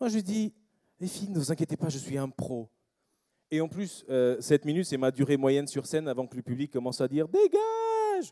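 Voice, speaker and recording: Fairly high in pitch, a man speaks with a non-native accent. His pace is moderate and his pitch varies in an ordinary way. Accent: foreign accent in French. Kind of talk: stand-up comedy.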